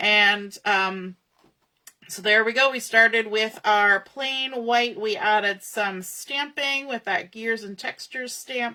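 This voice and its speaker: Here a woman talks at a very slow pace. Her intonation stays fairly even. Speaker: crafter demonstrating scrapbooking. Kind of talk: live crafting tutorial. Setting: online livestream. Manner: mumbling; casual, thinking aloud.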